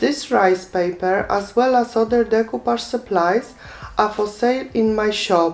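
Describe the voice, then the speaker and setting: A woman's fairly high voice, with ordinary pitch variation and very even loudness, over noticeable background noise. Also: fairly slow pace. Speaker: craft tutorial maker. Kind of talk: tutorial. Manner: calm, instructive.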